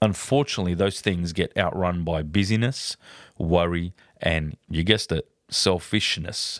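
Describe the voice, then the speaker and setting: In a very clean, dry and close recording with no echo and a silent background, a man speaks at a moderate pace with a very deep, low pitch and ordinary pitch variation. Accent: Australian. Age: 40s. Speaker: podcast host. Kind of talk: personal monologue. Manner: hesitant with fillers.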